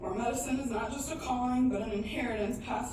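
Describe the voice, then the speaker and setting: A woman speaks in a fairly high voice. Noticeable background noise is present. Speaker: medical student. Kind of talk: spoken word poetry performance.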